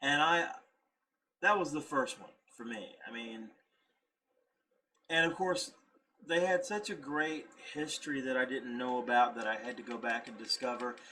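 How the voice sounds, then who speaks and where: Pausing long and often, a man with a Southern US accent speaks at a fairly high pitch with ordinary pitch variation. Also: moderate pace. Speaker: YouTube reactor. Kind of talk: casual video reaction commentary. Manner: halting, self-correcting.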